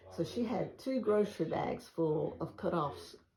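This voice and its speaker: A woman speaks with a Southern US accent. Her tone is dark and mellow, with vocal fry. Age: 80s+. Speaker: quilter. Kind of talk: casual chat. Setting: at home.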